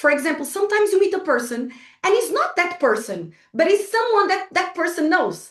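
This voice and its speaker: Speaking with a Portuguese accent, a woman talks at a fairly quick pace in an extremely high pitch with very wide pitch swings. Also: very even loudness. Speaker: entrepreneur and business trainer. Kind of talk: workshop talk. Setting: online video call. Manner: hesitant, with fillers and repetitions.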